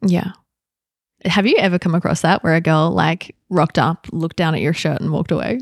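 In a dry, close sound with no echo, a woman with a fairly low pitch and vocal fry speaks with fairly even intonation. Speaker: psychotherapist and yoga teacher. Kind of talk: podcast interview with her fiancé.

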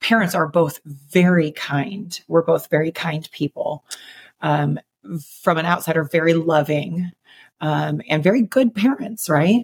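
Slowly, very slowly, a woman with a fairly low pitch and vocal fry speaks with long, frequent pauses and ordinary pitch variation, in a dry, close sound with no echo. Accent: American. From Chicago. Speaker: fitness coach and podcast co-host. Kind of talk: casual interview.

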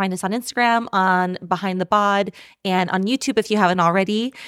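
A woman speaks at a moderate pace in an enthusiastic tone. The recording is very clean and dry, with a silent background, close sound and no echo. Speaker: podcast co-host. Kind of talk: casual interview chat. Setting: in-person, same room as co-host. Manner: enthusiastic, laughs often.

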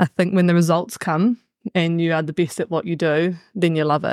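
In a New Zealand accent, a woman speaks at a fairly low pitch with fairly even intonation, dry and close with no echo on a very clean recording with a silent background. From New Zealand, Bay of Plenty. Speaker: high school PE teacher and sports coach. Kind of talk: casual panel discussion.

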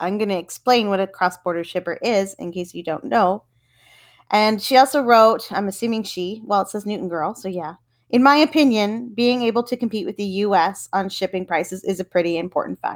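A woman's normal speaking voice with a Canadian accent, medium pitch, ordinary pitch variation, and a fairly quick pace in a very clean recording with a silent background. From Canada. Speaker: podcast host and reseller. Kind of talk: solo podcast monologue. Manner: casual, informal.

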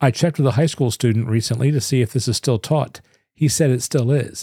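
A man's somewhat breathy voice at medium pitch, dark and mellow in tone, with ordinary pitch variation, dry and close with no echo, on a very clean recording with a silent background. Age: 50s. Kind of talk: devotional teaching monologue.

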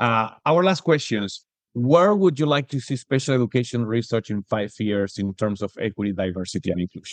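Speaking at a fairly quick pace with hardly any pauses, a man uses a medium pitch and lively intonation, recorded with a dry, close sound with no echo over a quiet background. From Argentina. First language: Spanish. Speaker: podcast host, professor. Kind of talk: interview. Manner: halting.

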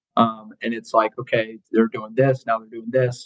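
A man in an American accent, medium in pitch and fairly quick, with monotone, flat intonation, music in the background and a dry, close sound with no echo. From Colorado. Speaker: college football strength coach. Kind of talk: casual chat.

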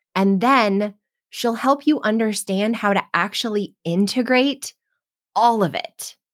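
A woman's fairly high-pitched, animated voice at a fairly slow pace, with ordinary pitch variation. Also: dry, close sound with no echo. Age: 40s. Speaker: podcast host and success coach. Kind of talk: casual interview chat.

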